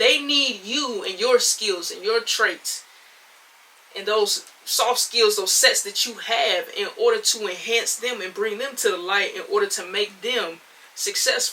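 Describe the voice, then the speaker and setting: This woman's pitch is fairly high, with ordinary variation. She speaks at a fairly slow pace over noticeable background noise. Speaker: podcast host. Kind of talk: solo podcast monologue. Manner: loud, excited.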